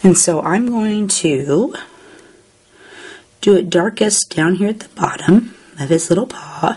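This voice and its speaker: A woman with a medium-pitched voice speaks at a fairly slow pace, with long, frequent pauses and big swings in loudness. Her pitch varies in an ordinary way, and there is noticeable background noise. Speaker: paper craft tutorial host. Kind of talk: tutorial. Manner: casual, chatty.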